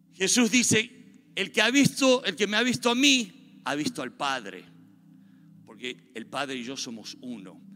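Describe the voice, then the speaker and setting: A man's high, raised, projected voice has a bright, sharp tone, very wide pitch swings and big swings in loudness, moving at a fairly slow pace with long, frequent pauses. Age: 50s. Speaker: pastor. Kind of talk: sermon.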